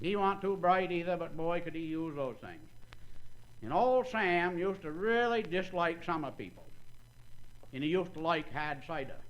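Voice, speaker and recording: With a Maine accent, this voice moves at a moderate pace with ordinary pitch variation and long, frequent pauses. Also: man, high pitch for a man. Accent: Downeast Maine. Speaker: agriculture professor and banquet speaker. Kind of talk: humorous after-dinner talk. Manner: folksy storytelling.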